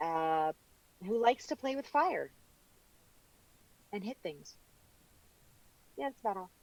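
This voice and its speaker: A woman speaks at a fairly slow pace with long, frequent pauses and very wide pitch swings, her voice dry and close with no echo. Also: medium pitch for a woman. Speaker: role-play game player. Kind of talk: tabletop role-play game session.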